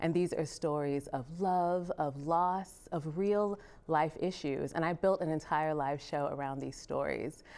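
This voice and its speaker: Very deep, low female voice with an American accent and hardly any pauses, in a very clean recording with a silent background. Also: fairly even intonation, fairly slow pace. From England. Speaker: singer and storyteller. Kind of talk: interview.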